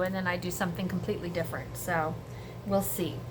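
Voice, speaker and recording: A woman speaks at a fairly quick pace, with audible room echo and noticeable background noise around her. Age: 60s. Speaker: home cooking vlogger. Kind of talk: casual cooking tutorial. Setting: home kitchen. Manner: animated.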